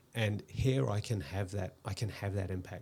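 A man with a New Zealand accent speaks at a moderate pace in a fairly low, somewhat breathy voice on a very clean recording with a silent background. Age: 50s. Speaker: hairstylist and tech entrepreneur. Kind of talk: casual interview. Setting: studio.

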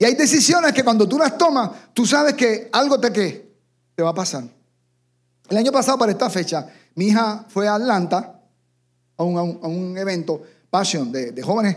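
A high-pitched man at a moderate pace, with very wide pitch swings and long, frequent pauses, on a very clean recording with a silent background. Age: 50s. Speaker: pastor. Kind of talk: sermon.

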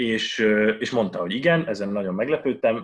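A man talks at a fairly quick pace in an ordinary speaking voice with ordinary pitch variation. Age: 20s. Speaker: mathematics PhD student. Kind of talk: casual Q&A talk. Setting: video call.

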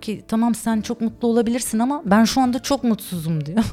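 A woman talks at a fairly quick pace in a fairly high pitch, somewhat breathy. Her tone is dark and mellow, with ordinary pitch variation. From Turkey (Istanbul and Ankara). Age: 40s. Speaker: ice cream and dessert shop owner. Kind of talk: casual interview chat.

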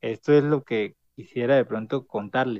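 An unremarkable speaking voice from a man at medium pitch and moderate pace, with ordinary pitch variation and a dry, close sound with no echo. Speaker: city councillor and student leader. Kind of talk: casual chat.

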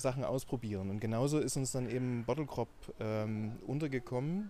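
With a Saxon accent, a man speaks at a medium pitch and moderate pace, his tone dark and mellow and his pitch varying in an ordinary way. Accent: Saxon, Dresden variety. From Saxony, Dresden. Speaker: scientist and startup founder. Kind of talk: podcast interview.

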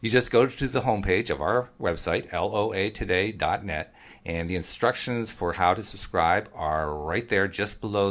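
With an American accent, a man speaks at a moderate pace with hardly any pauses. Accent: East Coast American, moderated. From US East Coast. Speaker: podcast host. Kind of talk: casual conversation, podcast intro.

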